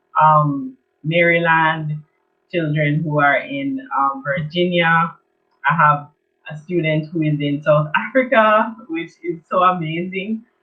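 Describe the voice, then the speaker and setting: Speaking at a very slow pace with a Jamaican accent, a woman uses a fairly low pitch and ordinary pitch variation. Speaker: children's art teacher. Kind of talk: online event presentation.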